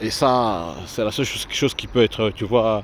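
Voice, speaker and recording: A man talks at a medium pitch. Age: 40s. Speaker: vlogger. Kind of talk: walking vlog. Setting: outdoors. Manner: halting.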